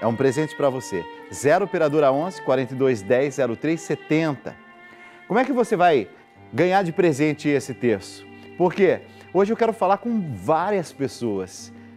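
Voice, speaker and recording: A man speaks at a fairly slow pace with long, frequent pauses, faint music playing in the background. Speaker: TV program host. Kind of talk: live TV appeal to viewers. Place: studio. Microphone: lapel.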